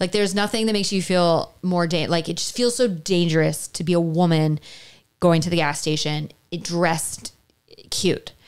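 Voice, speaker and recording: A woman with an American accent, fairly low pitch, ordinary pitch variation and a moderate pace, against a quiet background. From US South. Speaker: podcast co-host. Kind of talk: casual chat. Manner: halting. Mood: animated, amused storytelling. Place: home room. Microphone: studio mic.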